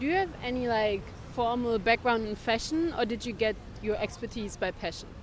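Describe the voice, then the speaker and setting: Here is a woman with a German accent at a fairly quick pace. Her pitch is fairly high, with ordinary variation. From Germany. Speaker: podcast host. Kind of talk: interview podcast. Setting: on location in Cape Town.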